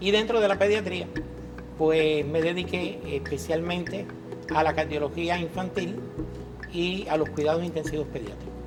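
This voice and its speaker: A Cuban accent at a moderate pace, with long, frequent pauses, ordinary pitch variation, music in the background, and audible room echo. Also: man, fairly high pitch for a man. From Cuba, Pinar del Río. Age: 60s. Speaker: pediatrician. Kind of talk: interview testimony. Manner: hesitant, many fillers.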